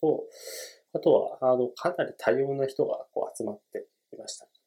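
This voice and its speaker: A man talks at a fairly quick pace. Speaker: podcast host, book reviewer. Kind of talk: solo book podcast talk. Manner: hesitant, many fillers; polite.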